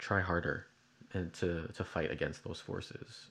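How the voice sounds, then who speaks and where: In an American accent, a soft-spoken man with a very deep, low voice talks fairly slowly, his pitch varying in an ordinary way. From Chicago. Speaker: video artist and programmer. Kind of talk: casual interview conversation. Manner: soft-spoken, hesitant.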